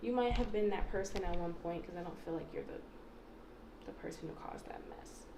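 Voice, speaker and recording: A woman is speaking in a room with audible echo. Noticeable background noise is present as well. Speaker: tarot card reader. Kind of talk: pick-a-card tarot reading. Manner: fast; casual, filler-heavy.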